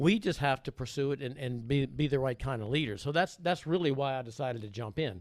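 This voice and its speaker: A man at medium pitch in a Louisiana accent, very fast with hardly any pauses, ordinary pitch variation, in a very clean recording with a silent background. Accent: US South, Louisiana. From Louisiana, Baton Rouge. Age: 60s. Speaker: mayoral candidate. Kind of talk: interview. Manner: halting, many repeats.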